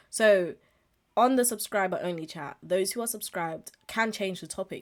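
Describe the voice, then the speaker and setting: At a fairly quick pace, a woman talks in an ordinary speaking voice with medium pitch and ordinary pitch variation. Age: 20s. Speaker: podcast host and streamer. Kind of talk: casual monologue. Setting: live stream with webcam.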